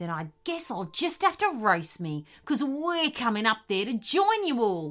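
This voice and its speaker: In a put-on character voice, a woman growls at a moderate pace, her fairly high pitch swinging very widely, on a very clean recording with a silent background. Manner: mocking, sly, amused.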